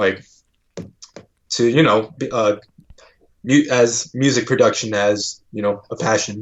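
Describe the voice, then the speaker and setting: In a Californian accent, a man speaks fairly slowly at medium pitch with fairly even intonation. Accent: Californian American English. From US West Coast (Bay Area), immigrated from China at three. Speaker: rapper and music producer. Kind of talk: casual podcast interview. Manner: casual, many fillers like 'like' and 'um'.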